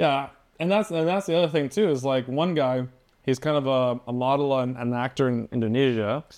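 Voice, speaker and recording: A man with a Canadian accent speaks in a plain, everyday voice at a medium pitch and a fairly quick pace. His pitch varies in an ordinary way, his loudness stays very even, and the background is quiet. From southwestern Ontario, Canada. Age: 20s. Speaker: influencer and entrepreneur. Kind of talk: casual chat.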